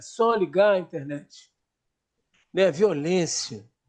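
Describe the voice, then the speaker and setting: Against a quiet background, a man talks in a high voice with lively intonation. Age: 70s. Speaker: therapist. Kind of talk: panel discussion.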